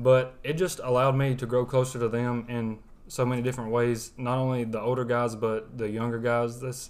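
In an American accent, a man talks at a fairly quick pace and medium pitch, his intonation monotone and flat. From West Alabama, US South. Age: 20s. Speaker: college student. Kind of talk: testimony. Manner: soft-spoken.

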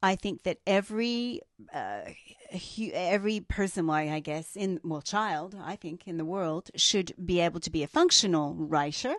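In an Australian accent, a woman speaks at a moderate pace with medium pitch. Her pitch varies in an ordinary way. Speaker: podcast co-host. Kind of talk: casual chat.

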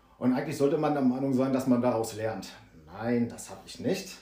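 Talking at a fairly quick pace, a man is heard with audible room echo and noticeable background noise. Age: 40s. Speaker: guest recounting alcohol addiction. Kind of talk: testimony.

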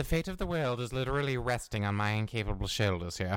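A put-on character voice, low in pitch, rattles along at a very fast pace. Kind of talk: comedy audio drama. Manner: fussy, anxious, polite.

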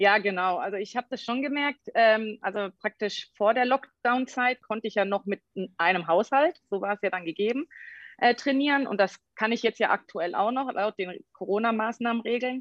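She has a normal speaking voice, pitched fairly high. The woman's pace is moderate, and her pitch varies in an ordinary way. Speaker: sports scientist and fitness trainer. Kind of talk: casual interview. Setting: video call.

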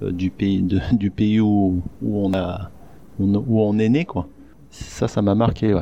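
The man's pitch is fairly low, his tone dark and mellow. His intonation stays fairly even. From France, Isère (rural, near Lyon). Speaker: Korean adoptee, blogger. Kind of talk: interview testimony. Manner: hesitant, many fillers. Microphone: crackling sound during interview.

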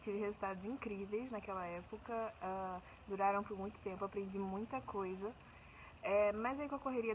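This woman has a normal speaking voice. Her pitch sits in the medium range. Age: 20s. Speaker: fitness program client. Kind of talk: testimonial.

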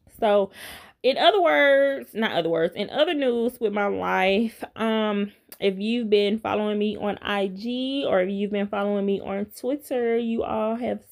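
This woman talks at a medium pitch with lively intonation. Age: 30s. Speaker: podcast host. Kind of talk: casual solo monologue. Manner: casual, laughing often.

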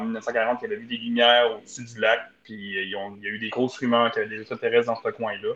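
Very fast speech with hardly any pauses. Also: man, big swings in loudness. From Ontario. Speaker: community economic development officer. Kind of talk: casual chat.

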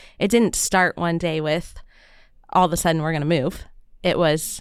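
On a very clean recording with a silent background, a woman uses a normal speaking voice at a fairly low pitch, with fairly even intonation and a moderate pace. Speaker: podcast host. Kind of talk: casual interview.

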